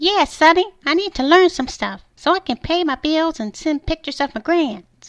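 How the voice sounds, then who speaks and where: This female-sounding cartoonish character voice is squeaky and extremely high-pitched. It moves at a moderate pace with hardly any pauses. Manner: old-fashioned, calls people sonny.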